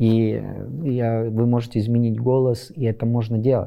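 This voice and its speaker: A man talks in a medium pitch with fairly even intonation. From western Ukraine. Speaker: civic activist. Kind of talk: interview monologue. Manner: halting.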